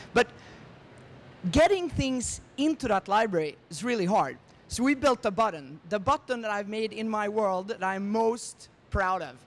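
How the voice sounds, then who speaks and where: A man with a Swedish accent, high pitch, lively intonation and moderate pace. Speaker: tech startup founder. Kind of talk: conference presentation.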